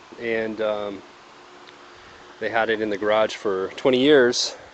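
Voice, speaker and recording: A man talks with a dry sound and no echo. Light background noise is present. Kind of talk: casual vlog chat. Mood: pleased, proud. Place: street. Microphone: phone near.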